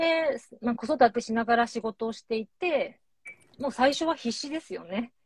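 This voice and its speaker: Speaking at a moderate pace, a woman with a high pitch shows ordinary pitch variation and big swings in loudness in a dry, close sound with no echo. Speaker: clinical psychologist. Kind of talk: interview conversation. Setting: Instagram live stream.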